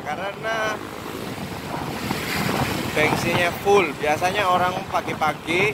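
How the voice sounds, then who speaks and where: Against loud background noise, a man talks at a very slow pace, the sound dry with no echo. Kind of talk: casual vlog chat. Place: motorbike. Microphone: phone near.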